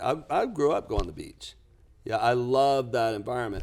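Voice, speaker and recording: A man's unremarkable speaking voice with an American accent, medium in pitch, with ordinary pitch variation, on a very clean recording against a silent background. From US South, lower Alabama. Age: 60s. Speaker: business coach and author. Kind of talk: podcast interview.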